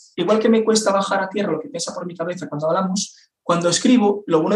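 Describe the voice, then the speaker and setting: Pitched high, a man speaks at a fairly quick pace. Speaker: copywriter and entrepreneur. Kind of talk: interview. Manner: fast.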